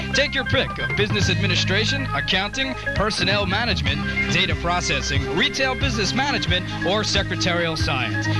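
Over loud background music, the voice moves at a fairly quick pace with hardly any pauses, the sound dry with no echo. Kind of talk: radio promo / college advertisement. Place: studio.

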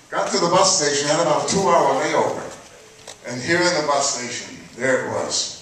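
Strong room echo and light background noise surround a man speaking at a moderate pace with hardly any pauses. His voice is high-pitched with ordinary pitch variation. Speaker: elder storyteller recounting civil rights-era experiences. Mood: earnest personal memories. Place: hall.

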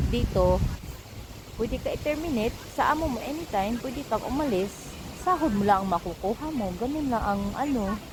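A woman's fairly high pitch, fairly quick pace and lively intonation against noticeable background noise. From Philippines. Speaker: domestic worker and vlogger; vlogger. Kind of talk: casual vlog monologue. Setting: outdoors in a park. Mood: calm, reflective storytelling. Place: garden. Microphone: phone near.

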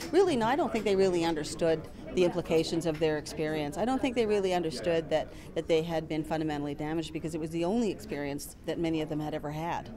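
With a fairly low pitch, a woman speaks at a very fast pace and ordinary pitch variation. Noticeable background noise is present. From Ontario, Georgina Island First Nation; Ontario. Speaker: educator. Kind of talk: interview. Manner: halting, with repetitions and fillers. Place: hall.

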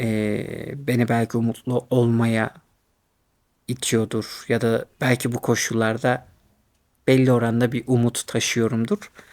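This man's voice sits at a medium pitch. He speaks at a fairly slow pace in a flat monotone. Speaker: YouTuber in academia. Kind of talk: casual monologue. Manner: hesitant, many fillers; laughs often.

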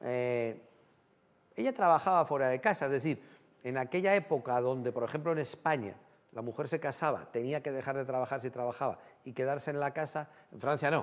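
A man talks at a fairly quick pace in a medium pitch. His pitch varies in an ordinary way. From Spain, Guadalajara; Spain. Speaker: TV talk show host. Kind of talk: TV studio interview. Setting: TV studio with audience. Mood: gentle, empathetic. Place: studio. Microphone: lapel.

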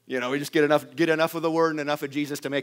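Quiet surroundings behind a male voice. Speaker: preacher. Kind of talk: sermon. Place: church. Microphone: headset.

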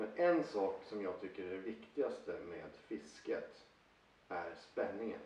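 A man at a fairly slow pace with audible room echo. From northern Sweden, Luleå (Norrbotten); Sweden. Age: 40s. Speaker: angler and fishing vlogger; fishing vlogger. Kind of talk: personal talk to camera. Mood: enthusiastic, persuasive. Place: home room. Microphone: camera far.

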